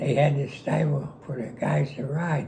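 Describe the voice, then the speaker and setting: With a Western Pennsylvania accent, a man speaks at a fairly high pitch with ordinary pitch variation. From Pittsburgh, Pennsylvania. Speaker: war veteran. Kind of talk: storytelling interview. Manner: witty, charismatic.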